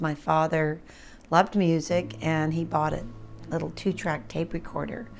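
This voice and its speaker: A woman's fairly low voice at a moderate pace, with music in the background. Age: 70s. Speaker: musician. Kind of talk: interview answer. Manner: casual, conversational.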